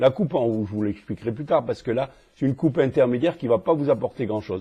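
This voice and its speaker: A man speaks at a very fast pace and a medium pitch. His intonation is lively. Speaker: cardiologist teaching echocardiography. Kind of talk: lecture. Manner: hesitant, many fillers.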